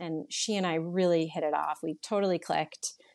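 In an American accent, a woman uses a plain, everyday voice at a fairly low pitch, speaking at a fairly slow pace with fairly even intonation against a quiet background. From Connecticut (New Canaan). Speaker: non-profit board chair. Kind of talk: interview.

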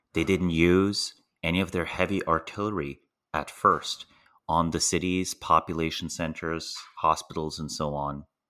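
Very deep and low, a man's voice with a bright, sharp tone moves at a moderate pace with ordinary pitch variation, on a very clean recording with a silent background. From Slovenia. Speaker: political risk analyst. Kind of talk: interview.

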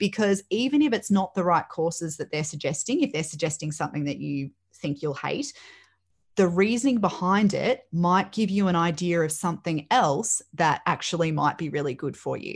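A woman's somewhat breathy, fairly low-pitched voice with lively intonation at a moderate pace, over a quiet background. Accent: Australian. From Australia, Melbourne northwest. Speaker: teacher and careers practitioner. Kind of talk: interview.

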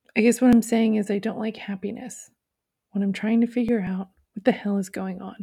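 The tone is dark, mellow and somewhat breathy. Delivery is fairly quick, with monotone, flat intonation. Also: woman, fairly high pitch for a woman. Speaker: poet and bookstore owner reading own poems. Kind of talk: poetry reading of own short poems, dated entries.

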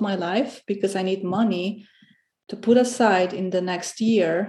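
A woman with a Romanian accent, medium in pitch, at a moderate pace with fairly even intonation. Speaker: guest, salon host and entrepreneur. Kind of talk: casual interview chat. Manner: halting, many fillers.

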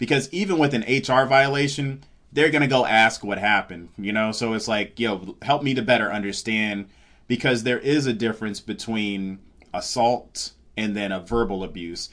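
In a quiet background, a man speaks at a moderate pace with a medium pitch and ordinary pitch variation. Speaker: stand-up comedian. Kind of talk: casual interview chat. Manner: mellow, low-energy.

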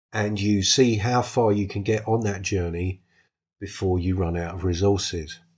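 A somewhat breathy voice with a British accent at a moderate pace and fairly even intonation, on a very clean recording with a silent background. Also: man, fairly low pitch for a man. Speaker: solo tabletop RPG podcast host. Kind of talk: casual solo monologue. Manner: halting, with ums and false starts.

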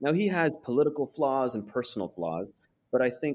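This man speaks with an American accent at a moderate pace. His intonation is lively. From US Pacific Northwest, Portland, Oregon. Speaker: foreign correspondent and author. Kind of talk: interview. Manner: halting, many fillers and repetitions.

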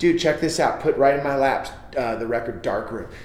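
The speaker has an American accent and ordinary pitch variation. Noticeable background noise and audible room echo surround the voice. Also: man. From US West Coast, San Jose, California. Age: 40s. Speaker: comedian and record label founder. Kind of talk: casual chat. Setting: studio.

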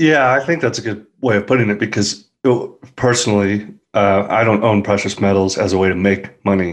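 An unremarkable speaking voice from a man, fairly low in pitch, at a fairly quick pace with ordinary pitch variation, very even loudness and a quiet background. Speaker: financial analyst guest. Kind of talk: casual interview discussion.

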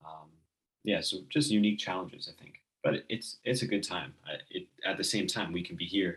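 In an ordinary speaking voice, a man with an American accent talks at a fairly quick pace and fairly low pitch, with lively intonation and big swings in loudness. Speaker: podcast host. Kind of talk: casual chat. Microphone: computer's built-in mic, less than optimal audio.

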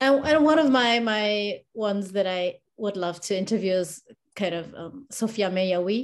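A woman speaks fairly slowly at a medium pitch, in a non-native accent. Her pitch varies in an ordinary way. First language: not English. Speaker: wheelchair basketball fan and social media clipper. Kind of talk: casual interview. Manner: halting, with frequent fillers and repetitions.

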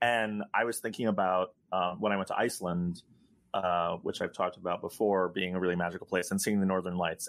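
With fairly even intonation and a fairly low pitch, a man is heard on a very clean recording with a silent background. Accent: American. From New York. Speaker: podcast co-host. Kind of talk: casual interview chat.

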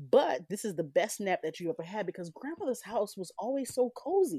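Over a quiet background, a woman talks in an animated tone at a fairly quick pace, the sound dry and close with no echo. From US South, rural. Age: 30s. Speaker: storyteller. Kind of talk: reading aloud.

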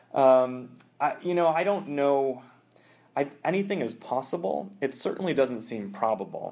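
A man speaks at a moderate pace with lively intonation and a fairly high pitch. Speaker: journalist and nuclear security expert. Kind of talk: interview. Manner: hesitant, with fillers and repetitions.

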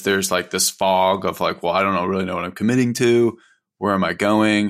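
A man speaks in an unremarkable speaking voice, fairly low in pitch and fairly even in intonation, captured on a very clean recording against a silent background. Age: 30s. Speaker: financial advisor and podcast host. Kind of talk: casual chat.

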